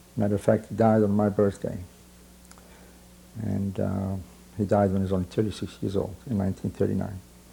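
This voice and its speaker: A man's somewhat breathy, fairly low voice moves at a fairly quick pace in a monotone, flat intonation, with long, frequent pauses. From Romania, Satu Mare area. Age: 60s. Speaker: Holocaust survivor. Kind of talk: testimony. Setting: recorded interview. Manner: halting, many fillers.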